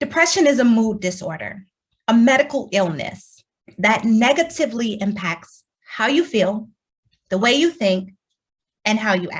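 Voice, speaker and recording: A woman with an American accent talks fairly slowly at a fairly high pitch, with lively intonation. Her voice is somewhat breathy, with long, frequent pauses. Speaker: keynote speaker. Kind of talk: keynote talk. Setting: virtual forum.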